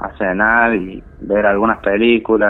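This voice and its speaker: A man with an ordinary speaking voice speaks at a fairly slow pace, with a medium pitch and fairly even intonation. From Argentina, Santiago del Estero. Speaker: story-telling caller. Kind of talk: personal testimony.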